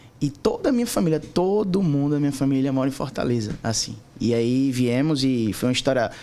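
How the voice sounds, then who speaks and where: A man speaks at a moderate pace in a fairly high pitch, his tone dark and mellow, his intonation lively and his loudness very even. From Recife, Pernambuco, Brazil. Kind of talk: casual interview testimony.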